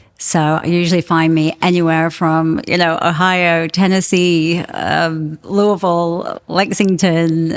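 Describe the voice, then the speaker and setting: A woman speaks at a fairly slow pace in a fairly low voice, barely pausing. Her loudness stays very even and her intonation is flat and monotone. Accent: English. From England. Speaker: home warranty account manager. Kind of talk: casual interview chat.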